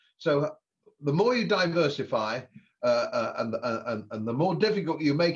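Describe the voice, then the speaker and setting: With an English accent, a man talks at a fairly high pitch with lively intonation. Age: 70s. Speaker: former politician and economist. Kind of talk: podcast interview. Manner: animated.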